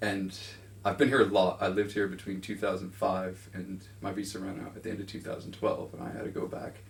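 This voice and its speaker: At a fairly quick pace, a man with a fairly low, somewhat breathy voice keeps his intonation fairly even while his loudness swings widely. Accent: North American. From suburban US. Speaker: music writer being interviewed. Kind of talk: interview. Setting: filmed interview in a room.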